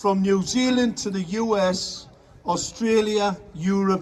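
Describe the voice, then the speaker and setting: Loud over noticeable background noise, a man speaks. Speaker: activist. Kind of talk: speech to a crowd. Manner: animated.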